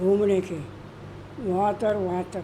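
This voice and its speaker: A woman speaks over noticeable background noise. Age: 80s+. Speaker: masters athlete. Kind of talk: interview answer.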